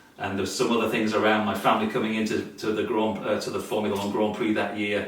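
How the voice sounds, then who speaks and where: A man speaks with a British accent. His voice carries audible room echo along with noticeable background noise. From Britain (Yorkshire). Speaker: amateur vintage racer. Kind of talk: casual interview. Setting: home garage. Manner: halting, many fillers.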